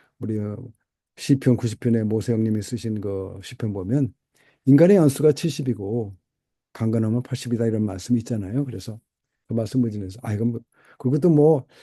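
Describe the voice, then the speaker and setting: Against a quiet background, a man talks at a fairly quick pace with long, frequent pauses, his dark, mellow voice at medium pitch with ordinary variation. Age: 70s. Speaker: pastor and missionary. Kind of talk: personal testimony vlog. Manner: halting, many fillers.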